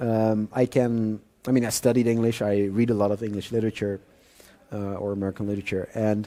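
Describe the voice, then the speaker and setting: Talking at a fairly quick pace, a man with a Dutch accent has a medium-pitched voice with a dark, mellow tone. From Netherlands. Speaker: thriller author. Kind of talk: interview at author event. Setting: live audience event. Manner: hesitant with fillers.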